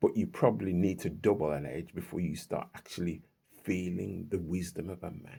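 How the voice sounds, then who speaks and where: A man's very deep, low voice with a dark, mellow tone and vocal fry, at a moderate pace with ordinary pitch variation. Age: 60s. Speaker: vlogger and self-published author. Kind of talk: casual monologue vlog. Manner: halting, frequent repetitions.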